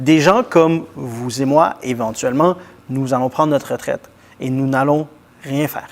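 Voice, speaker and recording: A man's normal speaking voice, fairly high in pitch with ordinary variation, at a fairly slow pace. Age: 30s. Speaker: TV interviewer. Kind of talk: interview.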